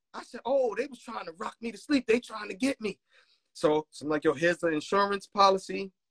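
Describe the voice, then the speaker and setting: Delivered at a fairly quick pace with lively intonation, the voice has an American accent and a dry, close sound with no echo. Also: man, high pitch for a man, big swings in loudness. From Brooklyn, New York. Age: 40s. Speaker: music producer. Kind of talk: casual chat.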